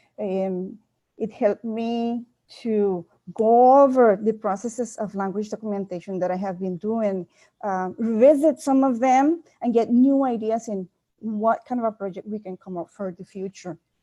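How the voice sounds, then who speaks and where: Set against a quiet background with a dry, close sound and no echo, a woman with a Costa Rican accent speaks at a moderate pace in a dark, mellow tone, her fairly high pitch showing ordinary variation and her loudness swinging widely. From Limon, Costa Rica (Afro-Costa Rican community). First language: Limonese Creole. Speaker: linguist, university faculty. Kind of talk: webinar presentation. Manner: hesitant, with repetitions.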